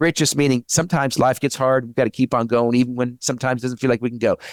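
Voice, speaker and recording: A man talks at a medium pitch. The sound is dry and close with no echo, on a very clean recording with a silent background. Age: 60s. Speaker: CEO and author. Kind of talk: interview.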